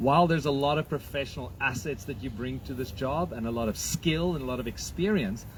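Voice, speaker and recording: Here a man talks at a fairly quick pace with lively intonation. His medium-pitched voice carries vocal fry. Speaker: supporter asking a question. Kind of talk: question at campaign event. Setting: outdoors in a park. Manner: loud.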